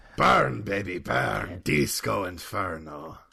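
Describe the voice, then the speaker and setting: A man speaks loudly in a put-on character voice that is raspy and very deep. His pace is fairly slow. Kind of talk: exuberant, showy. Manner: gusto, loud lively enthusiasm.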